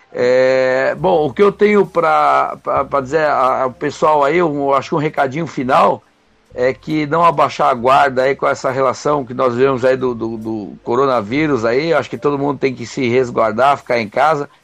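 Ordinary pitch variation from a man at a moderate speed. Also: medium pitch for a man. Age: 50s. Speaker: podcast panelist. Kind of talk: casual debate. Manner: halting, many repetitions.

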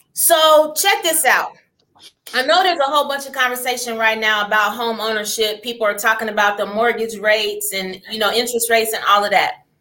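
A plain, everyday voice at a fairly quick pace. The pitch varies an ordinary amount. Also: woman, fairly high pitch for a woman. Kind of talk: casual chat.

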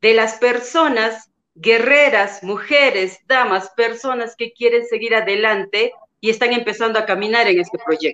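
A woman's bright, sharp, fairly high voice at a very slow pace, with ordinary pitch variation. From Peru. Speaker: network marketing leader. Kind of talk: panel question. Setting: video call.

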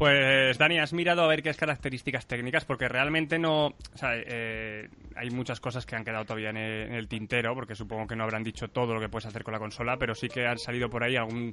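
A very fast pace with hardly any pauses, ordinary pitch variation and a bright, sharp tone. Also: man, medium pitch for a man. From central Spain. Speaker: podcast host. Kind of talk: casual chat. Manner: animated.

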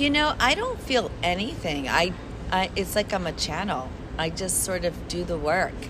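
Amid noticeable background noise and audible room echo, a woman with an American accent moves through very wide pitch swings. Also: medium pitch for a woman, moderate pace. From Chicago. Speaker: caricaturist. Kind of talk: casual interview.

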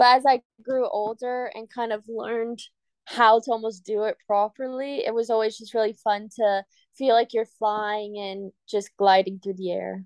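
A woman with a fairly high pitch speaks in a monotone, flat intonation, with big swings in loudness. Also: moderate pace, dry, close sound with no echo. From Cayman Islands. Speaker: Olympic gymnast. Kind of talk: casual interview.

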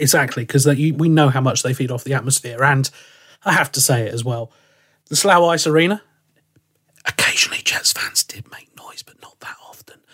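With an English accent, the voice has a bright, sharp tone and moves at a fairly quick pace. Loudness swings widely, pitch varies in an ordinary way, and the sound is dry and close with no echo. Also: man, fairly high pitch for a man. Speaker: ice hockey commentator and podcast host. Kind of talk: casual chat. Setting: remote call.

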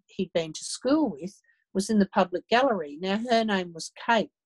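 A woman with an Australian accent at a medium pitch, in a dry, close sound with no echo. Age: 60s. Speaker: abuse survivor and advocate. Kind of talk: interview.

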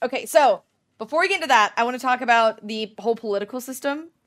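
A woman talks at a very fast pace in a high pitch with lively intonation. Her tone is playful and animated. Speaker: podcast host. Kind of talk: casual chat, comedic role play. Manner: playful, animated.

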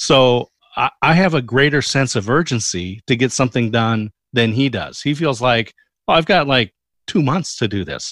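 A plain, everyday voice moves at a moderate pace with ordinary pitch variation, the sound dry and close with no echo on a very clean recording with a silent background. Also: man, medium pitch for a man. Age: 50s. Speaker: podcast guest. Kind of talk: interview.

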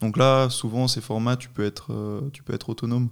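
Very clean recording of a man at a moderate pace against a silent background. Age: 20s. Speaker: paragliding instructor and competition athlete. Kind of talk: casual interview.

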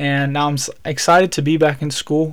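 A fairly high male voice with an American accent and flat, monotone intonation. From Alabama. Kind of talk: solo devotional podcast talk.

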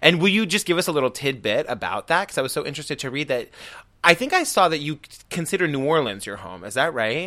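Speaking at a very fast pace, a man sounds animated and enthusiastic, his fairly high pitch making very wide swings, with vocal fry and a bright, sharp tone. The recording is very clean, with a silent background. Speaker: podcast host. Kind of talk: interview conversation. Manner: animated, enthusiastic.

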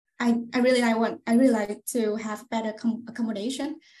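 A woman speaks at a moderate pace in a fairly high pitch with a Vietnamese accent, her intonation flat and monotone. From central Vietnam, Hoi An. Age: 20s. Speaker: customer success manager. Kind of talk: interview answers. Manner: halting.

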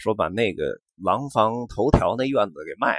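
A man speaks in a Beijing accent at a fairly slow pace with a relaxed tone. The sound is dry and close with no echo. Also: quiet background. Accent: Beijing Mandarin with erhua. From Beijing, Xuanwumen area. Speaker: podcast host. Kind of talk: casual monologue. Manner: relaxed with many fillers.

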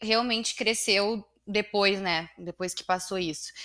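On a very clean recording with a silent background, a woman with a bright, sharp tone speaks in a medium pitch with monotone, flat intonation. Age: 20s. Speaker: business owner, real estate company director. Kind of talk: casual interview chat.

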